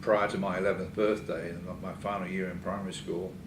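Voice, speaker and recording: Echo from the room is clearly heard. A man with a somewhat low voice talks at an average tempo. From England. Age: 70s. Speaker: retired engineering society past president. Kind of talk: interview. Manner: halting, many fillers.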